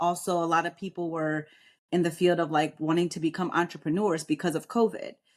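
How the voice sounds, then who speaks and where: A woman with a fairly low pitch is heard in a very clean recording with a silent background. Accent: American. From New York. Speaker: military veteran and realtor. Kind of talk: podcast interview. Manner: straightforward, bold.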